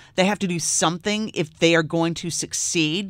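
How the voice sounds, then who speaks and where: At a moderate pace, a woman with an American accent and a plain, everyday voice talks at a fairly low pitch with fairly even intonation. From US South. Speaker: radio host. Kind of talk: interview. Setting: studio.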